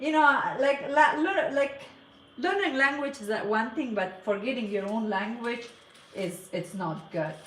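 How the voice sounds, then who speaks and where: A woman with a Persian accent swings her pitch very widely, heard with audible room echo and noticeable background noise. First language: Farsi. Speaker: cake decorator. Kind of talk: casual live stream chat. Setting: live stream. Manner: halting.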